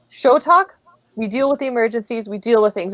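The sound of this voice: A woman talks at a fast pace in a fairly high pitch, with ordinary pitch variation.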